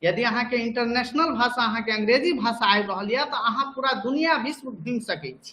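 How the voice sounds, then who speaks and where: A man with a Bihar accent speaks at an extremely high pitch in a raised, projected voice. He leaves hardly any pauses. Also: ordinary pitch variation. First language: Maithili (speaking Hindi). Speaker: teacher. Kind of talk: lecture. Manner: repetitive, conversational.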